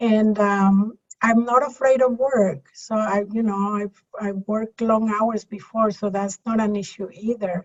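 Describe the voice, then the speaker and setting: Her voice is fairly high and somewhat breathy as a woman speaks at a fairly slow pace, with fairly even intonation and hardly any pauses. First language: Spanish. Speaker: tax and business consultant. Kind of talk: casual interview chat.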